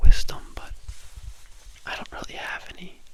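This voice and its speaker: There is noticeable background noise as a man whispers at a moderate tempo. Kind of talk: casual talk to camera, personal ramble. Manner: whispered, soft-spoken.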